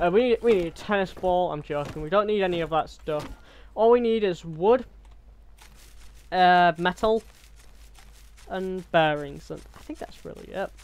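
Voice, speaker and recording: The delivery keeps a moderate pace but has long, frequent pauses. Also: man, high pitch for a man, ordinary pitch variation. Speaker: gaming youtuber. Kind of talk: gameplay commentary. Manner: stumbling over words; casual, chatty.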